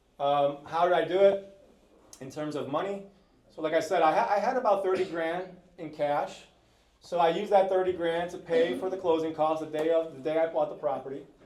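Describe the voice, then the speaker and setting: In a room with audible echo, a high-pitched man talks at a fairly quick pace with ordinary pitch variation and big swings in loudness. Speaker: real estate investor, house flipper. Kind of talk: panel talk at live event. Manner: fast.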